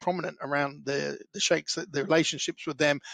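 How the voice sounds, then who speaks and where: Speaking with a western Irish accent at a very fast pace, a man with a fairly high pitch keeps a fairly even intonation, recorded with a dry, close sound, no echo and a quiet background. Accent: Irish, west of Ireland. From Ireland, County Clare. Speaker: construction business founder. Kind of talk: podcast interview. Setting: podcast.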